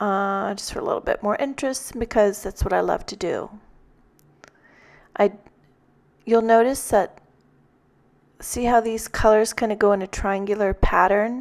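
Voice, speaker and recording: Calm in tone, a woman talks at a moderate pace with fairly even intonation. Long pauses come often. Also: fairly high pitch for a woman. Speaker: card-making tutorial creator. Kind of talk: tutorial. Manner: calm and mellow; hesitant, many fillers. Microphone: new microphone, popping p sounds.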